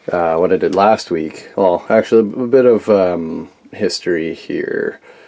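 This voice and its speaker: Noticeable background noise runs under the voice. The pace is fairly slow and the pitch variation ordinary. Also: man. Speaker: DIY workshop youtuber. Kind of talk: casual workshop vlog. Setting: shipping container workshop. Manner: halting, many fillers.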